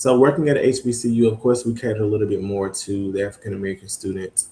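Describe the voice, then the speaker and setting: Somewhat breathy, a man with a Mississippi Delta accent talks at a fairly quick pace. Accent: Southern US, Mississippi Delta. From Mississippi Delta, US South (Greenwood). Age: 20s. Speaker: student affairs administrator. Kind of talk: interview. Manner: frequent filler ums.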